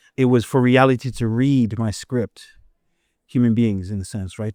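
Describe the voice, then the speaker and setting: The tone is dark and mellow, delivered at a moderate pace with fairly even intonation. The recording is very clean with a silent background, and the sound is dry and close with no echo. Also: man. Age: 50s. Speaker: poet and performance artist. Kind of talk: interview. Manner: halting, many self-repairs.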